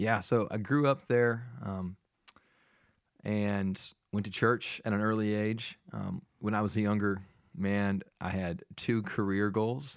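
A man with an American accent speaks very slowly at a fairly low pitch. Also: ordinary pitch variation, very clean recording, silent background. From Texas, Fort Worth. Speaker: college ministry pastor. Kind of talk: casual chat. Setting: studio.

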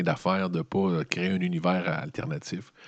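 The background is quiet as a man with a Quebec accent speaks at a moderate pace. His very deep, low voice has lively intonation. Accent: Québécois French. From Quebec (Montreal). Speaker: news commentator. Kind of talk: solo news commentary monologue. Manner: casual, conversational.

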